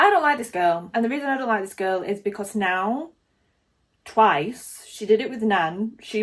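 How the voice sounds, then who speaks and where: A woman is speaking. She has a British accent. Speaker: reaction video youtuber. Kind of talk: casual reaction commentary. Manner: animated.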